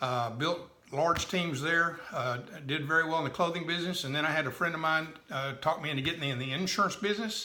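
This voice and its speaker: Amid noticeable background noise and audible room echo, a man with a Texan accent talks at a fairly quick pace with ordinary pitch variation. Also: fairly high pitch for a man. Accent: Texan Southern US. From Texas. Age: 70s. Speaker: direct sales businessman. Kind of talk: personal life story. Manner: halting, many fillers.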